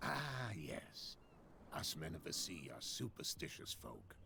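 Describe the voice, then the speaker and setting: In a put-on character voice, a man speaks fairly slowly at a very deep, low pitch over clear background noise. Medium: video game. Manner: evasive, guarded.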